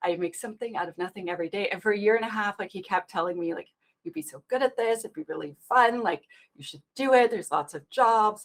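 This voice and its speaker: A woman with a Canadian accent speaks very fast at a medium pitch, animated in tone with lively intonation. Her loudness swings widely, and the sound is dry and close with no echo. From Canada. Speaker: application security expert and public speaker. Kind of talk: interview.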